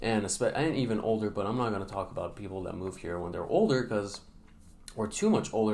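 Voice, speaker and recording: A man with a fairly low pitch speaks at a fairly quick pace. An audible room echo surrounds his voice. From Middle East. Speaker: vlogger. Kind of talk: unscripted vlog advice. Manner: hesitant, many fillers.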